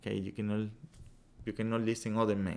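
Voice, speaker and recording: A man talks at a fairly quick pace and medium pitch with a Spanish accent. The recording is very clean, with a silent background. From Venezuela. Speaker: meditation and yoga teacher. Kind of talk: casual interview.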